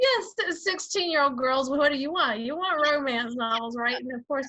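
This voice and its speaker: A woman with a Georgia accent projects a raised, high-pitched voice at a moderate pace. Her tone is bright and sharp, her intonation lively. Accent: Southern (Georgia). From Georgia, US South. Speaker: author and writing coach. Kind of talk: interview.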